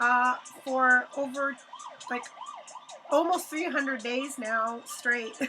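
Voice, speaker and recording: Over noticeable background noise, a woman uses a raised, projected voice at high pitch, speaking at a very slow pace with long, frequent pauses and fairly even intonation. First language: Hebrew. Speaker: live-streaming artist. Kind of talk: casual livestream chat. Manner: casual, halting with fillers.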